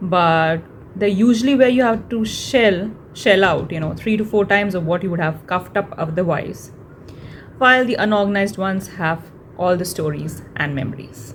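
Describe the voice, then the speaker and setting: In an Indian accent, a woman speaks with ordinary pitch variation amid audible room echo. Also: medium pitch for a woman, moderate pace. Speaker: blogger. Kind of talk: reading aloud.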